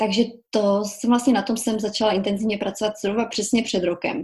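Vocal fry runs through this woman's voice. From Czech Republic, small village Kobeřice (Silesia). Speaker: journalist and author. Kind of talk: casual interview.

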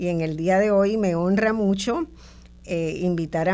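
A woman's voice at medium pitch. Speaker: radio host and sociologist. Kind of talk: radio interview. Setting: radio studio, also streamed on video.

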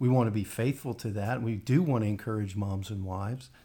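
A somewhat breathy man with ordinary pitch variation, on a very clean recording with a silent background. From West Virginia. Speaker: lead pastor. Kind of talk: podcast interview.

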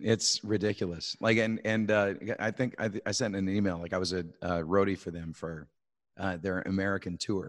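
On a very clean recording with a silent background, a man with a Canadian accent and a plain, everyday voice speaks at a moderate pace with fairly even intonation and a fairly low pitch. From Canada. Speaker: musician. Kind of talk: casual chat.

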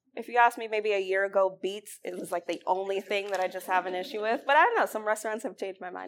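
Talking at a very fast pace, a woman uses an American accent. Her pitch sits in the medium range. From New York, Mount Vernon. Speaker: restaurant critic. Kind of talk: author talk.

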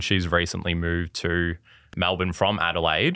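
Very deep, low male speech in an Australian accent. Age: 20s. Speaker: primary school teacher. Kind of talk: casual chat. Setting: studio.

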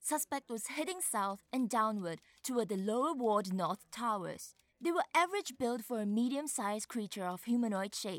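A woman talks at a moderate pace in a fairly high voice. Her pitch swings very widely, and the sound is dry and close with no echo. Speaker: voice actor playing Detective Gully. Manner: angry, exasperated, sharp.

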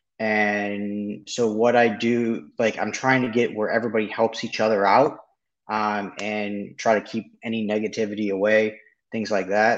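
At a moderate pace, a man talks in a fairly low voice with monotone, flat intonation. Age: 30s. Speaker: real estate wholesaler. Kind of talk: live show call-in.

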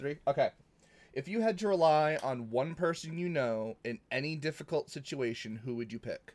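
An ordinary speaking voice with an American accent moves at a moderate pace with lively intonation. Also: man, fairly high pitch for a man. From New England, US. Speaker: podcast co-host. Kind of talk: casual chat. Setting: online call.

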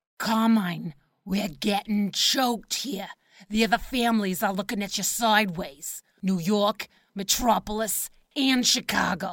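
A woman puts on a gravelly character voice at a medium pitch. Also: moderate pace, ordinary pitch variation. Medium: audio drama. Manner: blunt, domineering.

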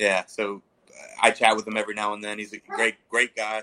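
A man with an American accent, fairly low in pitch, at a moderate pace, in a dry, close sound with no echo. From Baltimore, Maryland. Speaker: cigar company founder. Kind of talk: casual interview chat.

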